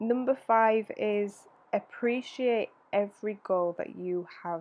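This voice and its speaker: A woman talks with ordinary pitch variation. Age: 20s. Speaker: podcast host. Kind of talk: solo reflective monologue.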